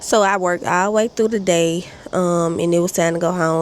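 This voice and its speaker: A fairly quick, fairly low-pitched woman's voice amid noticeable background noise. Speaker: vlogger. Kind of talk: casual chat. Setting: outdoors on porch.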